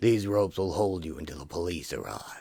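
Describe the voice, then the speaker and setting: In a put-on character voice, a man speaks fairly quickly with a very deep, low pitch. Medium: audio drama. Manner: clipped, stern.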